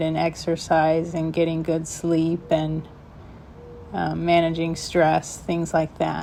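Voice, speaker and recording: At a very slow pace, a woman speaks in a fairly low pitch with monotone, flat intonation. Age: 40s. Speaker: video blogger living with Parkinson's. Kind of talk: personal reflection to camera. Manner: halting, with pauses and breaths.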